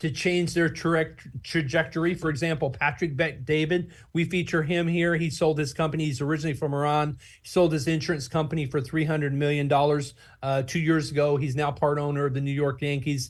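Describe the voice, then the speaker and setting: A man with an American accent talks at a fairly quick pace in a fairly high, somewhat breathy voice with monotone, flat intonation. The recording is very clean with a silent background. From Oklahoma, USA. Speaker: nonprofit founder and book publisher. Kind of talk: interview answer.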